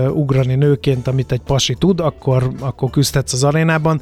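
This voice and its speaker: At a fairly high pitch, a man talks at a moderate pace. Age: 50s. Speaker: radio host and historical reenactor. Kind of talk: interview.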